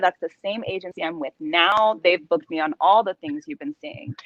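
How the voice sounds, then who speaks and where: Music plays behind a woman with a Californian accent, and the sound is dry and close with no echo. Her medium-pitched voice makes very wide pitch swings. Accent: Californian American English. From Southern California. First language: Spanish. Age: young. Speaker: actress. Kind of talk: interview.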